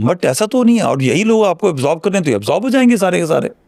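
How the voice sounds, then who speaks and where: The man's pitch is high. His voice makes very wide pitch swings. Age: 60s. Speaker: retired army general. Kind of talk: interview.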